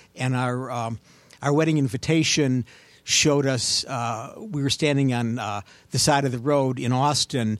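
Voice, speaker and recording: A man with an American accent speaks in a normal speaking voice at a moderate pace, his pitch medium with ordinary variation, in a very clean recording with a silent background. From Cleveland, Ohio suburbs. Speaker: author. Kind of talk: casual chat.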